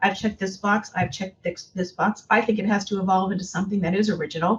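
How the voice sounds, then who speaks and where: This woman's voice sits at a medium pitch and is somewhat breathy. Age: 60s. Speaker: tourism executive. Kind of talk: interview.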